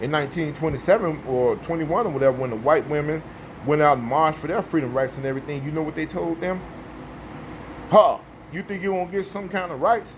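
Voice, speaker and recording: Against noticeable background noise, a man with an American accent speaks at a very fast pace with a fairly high pitch and ordinary pitch variation. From US Midwest, Chicago. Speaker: vlogger. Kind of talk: casual monologue.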